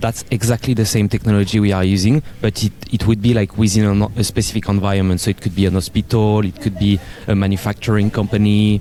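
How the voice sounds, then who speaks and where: In a French accent, a man speaks very fast at a fairly low pitch, with monotone, flat intonation and very even loudness. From France. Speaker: tech company representative. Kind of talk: conference booth interview. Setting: conference booth, recorded live.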